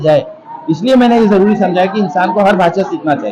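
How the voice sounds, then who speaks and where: A man with a Pakistani accent, crowd noise in the background. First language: Urdu (speaking Hindi). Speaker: English professor. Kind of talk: event interview.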